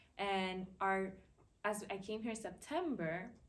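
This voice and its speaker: Audible room echo surrounds a woman's voice. She has an American accent, a medium pitch and fairly even intonation. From Dominican Republic and US. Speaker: university student, panelist. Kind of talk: personal testimony on a panel.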